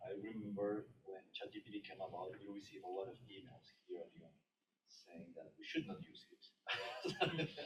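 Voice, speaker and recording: Somewhat breathy, a man talks at a moderate pace with lively intonation, big swings in loudness, and long, frequent pauses. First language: not English. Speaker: conference attendee. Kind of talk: audience question. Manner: halting.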